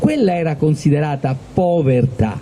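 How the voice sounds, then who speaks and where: A man speaks at a moderate pace with ordinary pitch variation amid noticeable background noise. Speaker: event host. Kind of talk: public talk to a live audience.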